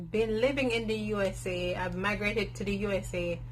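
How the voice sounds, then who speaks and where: A woman speaks with a strong Jamaican accent in a space with audible room echo. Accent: thick Jamaican. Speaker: natural hair vlogger. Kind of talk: casual Q and A vlog. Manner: candid, conversational with fillers.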